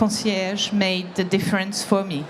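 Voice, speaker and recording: A woman's voice amid noticeable background noise and audible room echo. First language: French. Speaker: employee giving testimonial. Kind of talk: testimony. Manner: halting.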